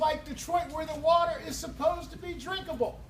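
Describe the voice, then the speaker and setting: A man talks at a moderate pace in an extremely high pitch, with noticeable background noise and audible echo in the room. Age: 60s. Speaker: political candidate. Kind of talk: campaign speech.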